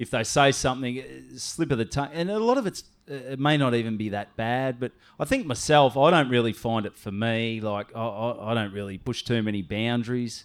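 This man speaks with an Australian accent. His pitch is medium and his pace fairly quick. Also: ordinary pitch variation. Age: 30s. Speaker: comedian. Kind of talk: casual chat.

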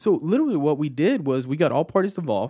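A man's very fast speech against a quiet background. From Texas, Austin. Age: 20s. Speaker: Air Force veteran and process improvement consultant. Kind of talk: casual interview.

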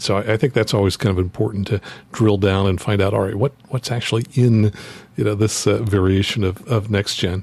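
A man talks fairly quickly in a plain, everyday voice. His fairly low pitch shows ordinary variation. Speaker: flight instructor. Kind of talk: casual chat.

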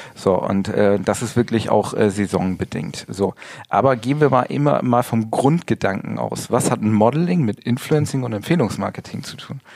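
This man has a plain, everyday voice at a medium pitch. He speaks at a moderate pace with lively intonation. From northern Germany, rural area between Bremen and Hamburg. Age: 40s. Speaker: model and Instagram coach. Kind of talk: interview. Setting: studio.

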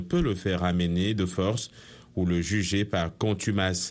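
Here a man speaks in a very deep, low voice. His pace is very slow and his intonation fairly even. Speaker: newsreader. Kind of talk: formal radio newsreading, scripted bulletin delivered in crisp, polished French. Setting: studio. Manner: measured, even and authoritative, steady pace with neutral detached tone; precise and formal, clearly enunciated headline after headline.

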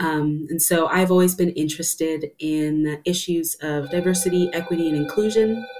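Hardly pausing at all, the speaker moves at a moderate pace with ordinary pitch variation over noticeable background noise. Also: woman, fairly low pitch for a woman. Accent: American. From US Southwest. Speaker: choir artistic director. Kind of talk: interview.

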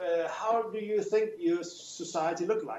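With a Danish accent, a man talks at a moderate pace in a high pitch. His intonation is lively, and there is noticeable background noise. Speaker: professor. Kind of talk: radio interview. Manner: halting, many fillers.

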